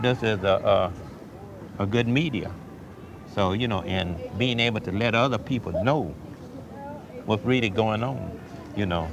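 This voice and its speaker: A man at a fairly low pitch with ordinary pitch variation and long, frequent pauses, audible room echo and noticeable background noise around him. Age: 70s. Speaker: author. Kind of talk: interview. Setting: church. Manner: halting.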